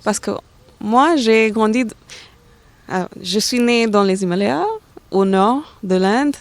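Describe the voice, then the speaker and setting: With a fairly high pitch and ordinary pitch variation, a woman speaks at a very slow pace, leaving long, frequent pauses. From India, Delhi. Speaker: aerospace engineer. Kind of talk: interview. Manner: halting, many hesitations.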